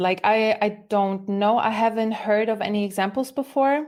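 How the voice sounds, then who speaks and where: A woman with a German accent speaks at a moderate pace. Her pitch is fairly high, with ordinary variation. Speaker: musician. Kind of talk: casual chat.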